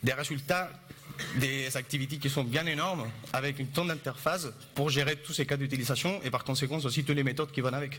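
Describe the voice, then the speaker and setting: A man with a non-native accent talks at a fairly quick pace but leaves long, frequent pauses. His pitch is fairly high and his intonation fairly even. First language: not French (speaking French). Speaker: Android developer. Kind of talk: conference talk.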